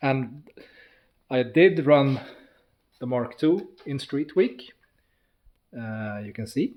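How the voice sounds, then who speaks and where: With a non-native accent, the speaker goes at a very slow pace, with long, frequent pauses, ordinary pitch variation and big swings in loudness. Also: man, medium pitch for a man. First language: not English. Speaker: car builder, YouTuber. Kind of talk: casual walkthrough of a project car. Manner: halting, with hesitations.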